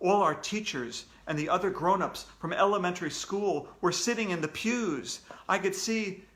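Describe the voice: Someone plainly reads a text aloud, with ordinary movement in pitch.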